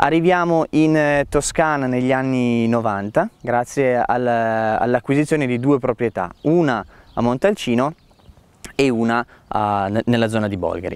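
Very slow speech from a man at medium pitch, ordinary pitch variation, and a dry, close sound with no echo. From Piedmont, Italy. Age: 20s. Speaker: winemaker. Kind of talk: interview monologue.

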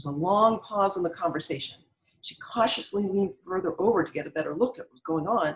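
The background is quiet as the text is read aloud in a natural voice.

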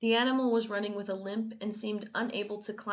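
What comes through is a natural reading voice.

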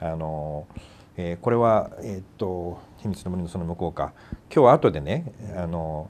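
Very deep and low, a man's voice moves at a fairly slow pace. His loudness swings widely. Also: ordinary pitch variation. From Japan. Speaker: talk show host. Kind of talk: casual discussion about films. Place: studio.

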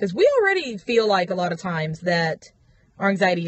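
A woman talks at a moderate pace with a fairly low pitch. The sound is dry with no echo. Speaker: vlogger. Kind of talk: casual vlog chat. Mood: frustrated, emphatic. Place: car. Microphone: phone near.

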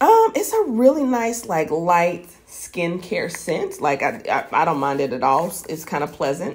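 A woman speaks at a fairly low pitch. Her voice makes very wide pitch swings. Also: fairly slow pace. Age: 40s. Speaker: beauty vlogger. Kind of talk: casual product haul video. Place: home room.

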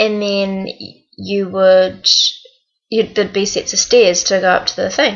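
A woman talks at a fairly slow pace with fairly even intonation. The background is quiet. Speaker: vlogger on work exchange program. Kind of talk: casual vlog chat. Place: home room. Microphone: webcam.

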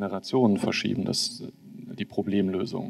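In a dark, mellow tone, a man with a fairly low-pitched voice talks at a moderate pace. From northern Germany. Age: 40s. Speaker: politician. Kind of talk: panel discussion. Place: hall. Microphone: handheld.

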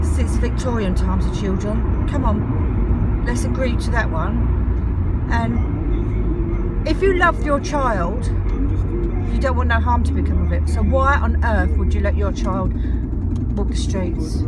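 Over music in the background, a woman speaks at a fairly slow pace with ordinary pitch variation, the sound dry with no echo. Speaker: vlogger. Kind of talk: casual vlog rant. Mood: annoyed, ranting. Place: car. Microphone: phone near.

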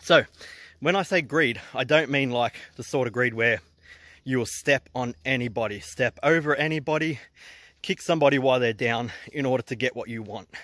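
On a very clean recording with a silent background, a man with an Australian accent talks at a fairly quick pace in a medium pitch, his tone bright and sharp and his pitch varying in an ordinary way. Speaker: entrepreneur vlogger. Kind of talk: casual vlog talk. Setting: outdoors hiking.

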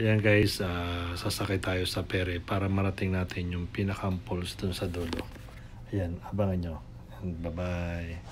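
Loud background noise runs under this recording. A man talks at a moderate pace. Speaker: family vlogger. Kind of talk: casual vlog chat. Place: waterside. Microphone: phone near.

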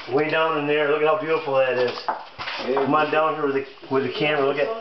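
A man speaks in a flat monotone at a fairly quick pace with very even loudness, against noticeable background noise. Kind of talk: casual commentary while exploring. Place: tunnel cave. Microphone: camera far.

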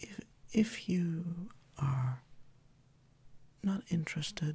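Soft-spoken and calm, a man talks in a high pitch with a dark, mellow tone. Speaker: Reiki practitioner and ASMR creator. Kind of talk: ASMR relaxation introduction. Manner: soft-spoken, calm, slow. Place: home room.

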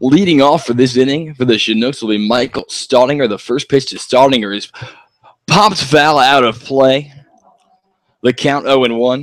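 This man has a plain, everyday voice, medium pitch, ordinary pitch variation and a moderate pace. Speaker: color commentator. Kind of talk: live baseball commentary, play-by-play calls.

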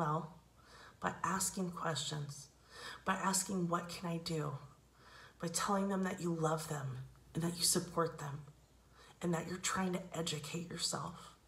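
A woman's fairly low voice in a monotone, flat intonation, broken by long, frequent pauses, with audible room echo. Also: fairly slow pace. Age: 40s. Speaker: actor and comedy vlogger. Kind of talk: casual direct-to-camera monologue.

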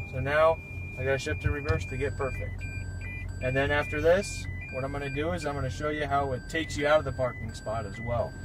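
The sound is dry with no echo, yet noticeable background noise comes through. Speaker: car dealership staff demonstrating feature. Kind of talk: demo commentary. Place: car. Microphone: phone near.

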